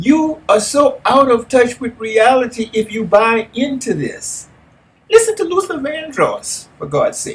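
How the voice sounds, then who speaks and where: A man with an American accent at an extremely high pitch, fairly slow pace, very wide pitch swings and big swings in loudness. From California. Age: 70s. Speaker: life coach. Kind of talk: motivational talk. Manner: animated.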